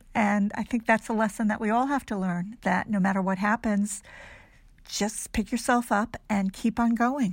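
In a very clean recording with a silent background, a woman with a fairly high, somewhat breathy voice talks at a moderate pace with fairly even intonation. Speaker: podcast host. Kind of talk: casual interview chat.

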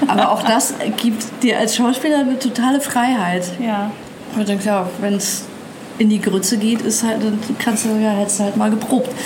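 Amid noticeable background noise and audible room echo, a woman with a fairly high pitch keeps a moderate pace, very even loudness and fairly even intonation. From Germany, Nuremberg (Franconia). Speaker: actress. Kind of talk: casual interview. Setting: outdoors on a hotel terrace by the sea.

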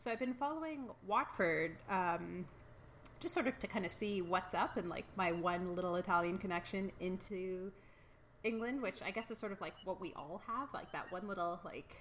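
A woman with a Canadian accent uses a normal speaking voice at a medium pitch. She talks at a moderate pace with ordinary pitch variation. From Toronto, Canada. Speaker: podcast co-founder and soccer fan.

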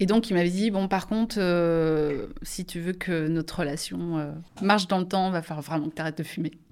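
Her intonation is fairly even. The woman keeps a moderate pace. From France, Angers. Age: 40s. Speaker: nurse. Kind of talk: casual chat.

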